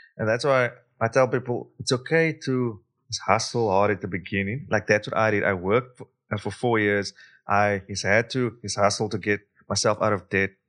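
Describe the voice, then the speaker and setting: Fairly low-pitched man with a South African accent at a fairly quick pace, against a quiet background. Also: ordinary pitch variation. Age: 30s. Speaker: investor and speaker. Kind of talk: casual interview chat. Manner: animated, laughs often.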